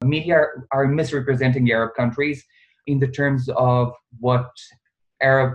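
Moderately paced man, somewhat breathy, medium pitch. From Bosnia. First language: Bosnian/Serbian. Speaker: pharmacist and research intern. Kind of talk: casual interview. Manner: animated.

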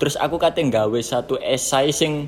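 Pitched fairly high, a man speaks with lively intonation. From East Java, Gresik. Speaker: podcast co-host. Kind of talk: casual chat.

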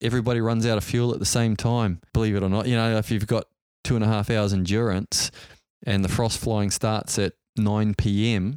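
A man in a New Zealand accent, medium in pitch, fairly quick in pace, on a very clean recording with a silent background and a dry, close sound with no echo. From New Zealand, Auckland. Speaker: helicopter pilot and entrepreneur. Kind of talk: interview storytelling.

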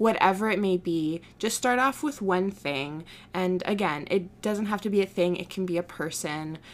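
This woman speaks in an ordinary speaking voice at a medium pitch, with ordinary pitch variation and a moderate pace, in a very clean recording with a silent background. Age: 20s. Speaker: podcast host and small business owner. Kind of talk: solo podcast monologue. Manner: casual, with fillers and laughs.

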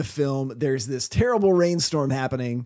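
A man's lively intonation rises above noticeable background noise. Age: 40s. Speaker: podcast co-host. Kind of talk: casual chat.

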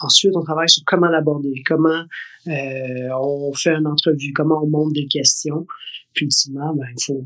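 At a moderate pace, a man speaks in a fairly high pitch with flat, monotone intonation. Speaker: podcast co-host, school parent. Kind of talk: casual chat.

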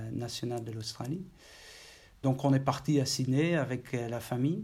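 This man has a Dutch accent and a dark, mellow tone. He speaks at a fairly slow pace. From Netherlands, Maastricht. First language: Dutch (speaking French). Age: 40s. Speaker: IT executive. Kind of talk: interview. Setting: office. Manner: halting.

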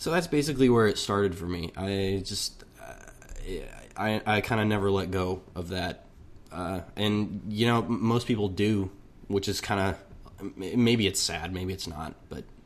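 A man talks in an ordinary speaking voice, fairly low in pitch, at a fairly slow pace with ordinary pitch variation. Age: 20s. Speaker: musician. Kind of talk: recorded personal testimony.

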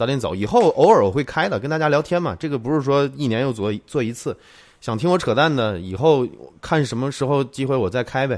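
Lively intonation marks a man's medium-pitched voice at a fairly quick pace. The recording is very clean, with a silent background. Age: 30s. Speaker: tech video creator. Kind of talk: live stream chat. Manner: casual, chatty.

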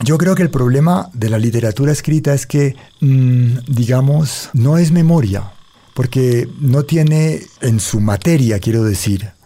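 This man talks at a fairly slow pace. His loudness stays very even, with ordinary pitch variation. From Colombia, Cali. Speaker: storyteller and writer. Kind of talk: interview with oral storytelling. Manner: expressive storytelling delivery.

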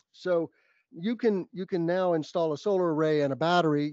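A man speaks in an American accent with a high pitch. He moves at a fairly quick pace. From New Mexico, US. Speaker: solar business development director and podcaster. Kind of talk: interview.

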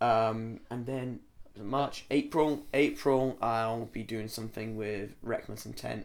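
Very slowly, a man with a Scottish accent talks in fairly even intonation. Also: medium pitch for a man. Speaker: trainee pro wrestler. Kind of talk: casual interview.

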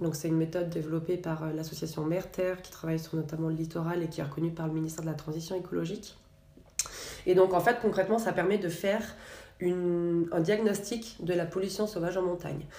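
A woman talks at a very fast pace and a fairly low pitch, keeping her intonation fairly even. Noticeable background noise and audible room echo surround her voice. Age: 40s. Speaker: environmental association program manager. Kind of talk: interview.

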